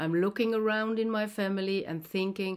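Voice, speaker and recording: In a very clean recording with a silent background, a woman speaks with fairly even intonation. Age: 60s. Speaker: viewer sharing experience. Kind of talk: testimony.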